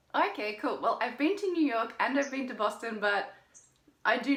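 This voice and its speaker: Against noticeable background noise, a woman speaks at a fairly quick pace with lively intonation. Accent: Australian. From Australia. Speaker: dating coach. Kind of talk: vlog commentary; casual chat. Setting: video call.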